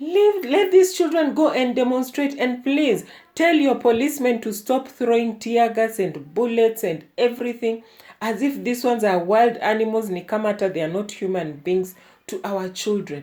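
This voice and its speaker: A woman speaks at a moderate pace in a fairly high pitch with a dark, mellow tone. Her pitch swings very widely. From Kenya. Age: 60s. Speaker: YouTuber. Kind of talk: political rant. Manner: animated; halting.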